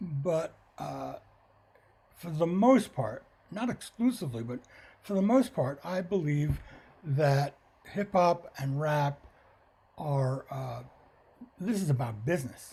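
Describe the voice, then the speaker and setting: A man speaks at a very slow pace and fairly high pitch, with long, frequent pauses. His voice is dark, mellow and somewhat breathy, with lively intonation. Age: 70s. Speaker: musician and producer. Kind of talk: interview. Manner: halting, many fillers.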